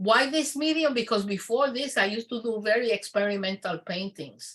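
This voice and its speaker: Here a woman speaks at a fairly high pitch. Her tone is bright and sharp. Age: 70s. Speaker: artist. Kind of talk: conversation.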